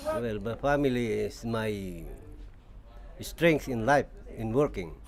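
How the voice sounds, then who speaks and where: At a very slow pace, a man talks at medium pitch with ordinary pitch variation. Noticeable background noise runs behind him. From Philippines. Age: 50s. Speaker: machinist. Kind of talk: documentary interview. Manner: halting.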